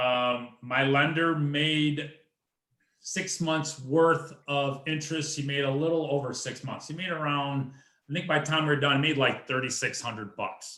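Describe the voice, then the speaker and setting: A man's fairly high voice at a moderate pace, fairly even in intonation, with audible room echo. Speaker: real estate investor. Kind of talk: presentation at investor meeting.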